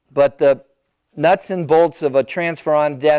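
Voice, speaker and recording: With an American accent, a man speaks at a fairly high pitch using fairly even intonation. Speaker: elder care planning advisor. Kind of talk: seminar presentation. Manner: loud.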